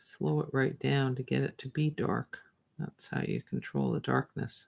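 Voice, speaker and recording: A soft-spoken woman with a Canadian accent, relaxed tone and big swings in loudness, dry and close with no echo. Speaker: visual artist livestreaming from her studio. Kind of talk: casual chat while drawing on livestream. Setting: livestream from art studio. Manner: slow, relaxed.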